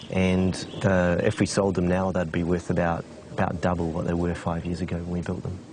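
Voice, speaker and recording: A man with a New Zealand accent talks at a fairly quick pace in a very deep, low pitch. His intonation is monotone and flat, with noticeable background noise. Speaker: expat property investor. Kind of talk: interview. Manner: halting.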